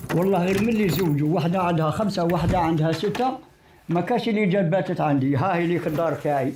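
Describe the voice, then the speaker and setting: Over noticeable background noise, a man talks very fast in a high voice, his pitch varying in an ordinary way and his loudness very even. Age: 80s+. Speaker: elderly resident interviewed. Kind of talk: street interview.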